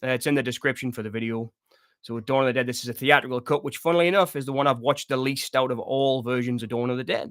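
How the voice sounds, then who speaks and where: Talking at a very fast pace with a Sunderland accent, this man has a medium pitch and fairly even intonation, recorded with a dry, close sound and no echo. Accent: Mackem (Sunderland), still noticeable. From northeast England, Sunderland/Washington. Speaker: horror movie livestream host. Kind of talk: casual livestream chat reading viewer comments. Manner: relaxed, conversational with many fillers.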